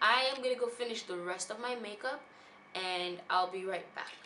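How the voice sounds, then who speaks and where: Noticeable background noise and audible room echo surround this woman's fairly high voice. She talks at a moderate pace with ordinary pitch variation. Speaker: beauty vlogger. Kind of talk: product review vlog. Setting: at a bridal shower.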